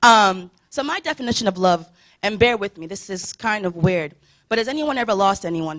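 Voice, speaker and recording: Her loudness swinging widely, a woman speaks at a medium pitch with lively intonation. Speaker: church youth speaker. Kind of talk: sermon. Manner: fast.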